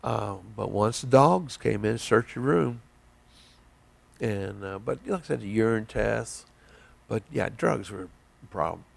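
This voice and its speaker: The speaker has an American accent and a fairly slow pace. Loudness swings widely, and the pauses are long and frequent. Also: man. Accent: Southern drawl, comes out at times. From southern Indiana, near Evansville. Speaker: army veteran. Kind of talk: oral history interview. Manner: halting, many fillers.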